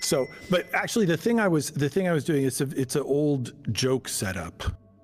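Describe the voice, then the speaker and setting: Music plays behind a man whose fairly high voice keeps a very even loudness, moving at a fairly quick pace with lively intonation. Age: 60s. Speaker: streamer. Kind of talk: casual chat. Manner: halting.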